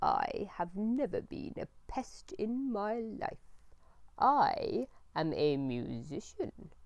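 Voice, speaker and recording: A female-sounding put-on character voice goes very slowly at a high pitch. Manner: slow, scornful.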